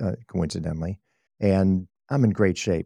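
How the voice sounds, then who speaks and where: A man speaks in a very deep, low voice with a dark, mellow tone and ordinary pitch variation, recorded dry and close with no echo. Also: quiet background. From Chicago, US Midwest. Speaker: heart surgery patient and advocate, cyclist. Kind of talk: interview storytelling.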